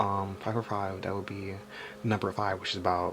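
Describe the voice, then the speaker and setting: This man has a very deep, low pitch. His intonation is monotone and flat. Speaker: tarot reader. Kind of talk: tarot reading. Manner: halting, stuttering; casual, filler-heavy.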